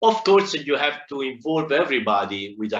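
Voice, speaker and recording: A man with an Italian accent speaks at a moderate pace amid audible room echo. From Italy. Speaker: agile consultant speaker. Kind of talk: conference talk. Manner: halting, many fillers.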